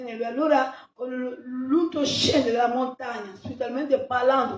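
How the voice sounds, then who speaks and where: Her voice is high-pitched, and this woman keeps a fairly even intonation at a fairly slow pace. Audible room echo surrounds it. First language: not Italian (speaking Italian). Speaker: pastor. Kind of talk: sermon.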